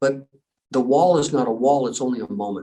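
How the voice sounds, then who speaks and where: Man at a moderate pace, fairly high in pitch, with ordinary pitch variation. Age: 60s. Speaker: endurance athlete and special forces trainer. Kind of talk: podcast interview. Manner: animated storytelling.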